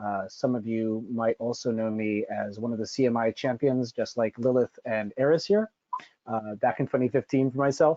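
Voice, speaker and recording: Using a normal speaking voice, a man with an American accent talks at a moderate pace with a medium pitch and ordinary pitch variation. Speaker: cheesemonger, panelist. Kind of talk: webinar panel presentation. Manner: many filler words (uh).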